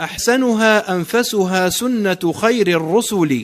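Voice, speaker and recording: Over noticeable background noise, a man speaks very slowly in a high pitch with ordinary pitch variation. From Algeria. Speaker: poet. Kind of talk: poetry reading.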